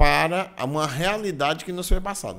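A man with a Brazilian accent, a high pitch, and a moderate pace. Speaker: construction management instructor. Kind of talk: tutorial. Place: home room. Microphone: studio mic.

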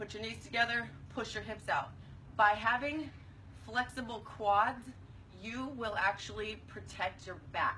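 Against light background noise, a woman speaks at a fairly slow pace with fairly even intonation and long, frequent pauses. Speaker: fitness instructor. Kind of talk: live workout instruction and viewer chat. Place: garden. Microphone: phone near.

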